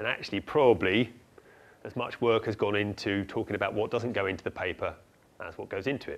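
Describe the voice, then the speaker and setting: Very fast and fairly low-pitched, a man talks in a very clean recording with a silent background. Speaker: university lecturer in geography. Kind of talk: academic lecture. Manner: excitable.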